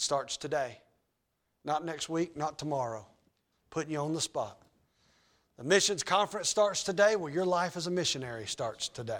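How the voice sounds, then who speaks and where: In an American accent, a man talks at a moderate pace with a fairly high pitch. His intonation is lively, and he takes long, frequent pauses. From US South, Georgia. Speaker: pastor. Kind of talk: sermon. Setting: church. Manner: loud when excited, toned down.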